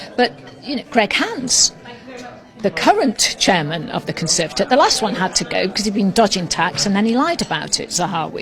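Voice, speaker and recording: A woman with a British accent talks at a fairly quick pace, her pitch swinging very widely, with music playing in the background. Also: medium pitch for a woman. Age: 60s. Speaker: political commentator. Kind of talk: political talk. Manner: animated.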